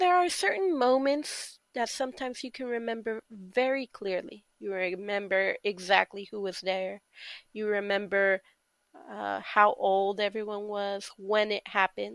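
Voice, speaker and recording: The recording is very clean, with a silent background and a dry, close sound with no echo. A woman talks at a fairly slow pace with an American accent and an ordinary speaking voice. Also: medium pitch for a woman, ordinary pitch variation. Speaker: podcast host. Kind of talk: personal storytelling monologue.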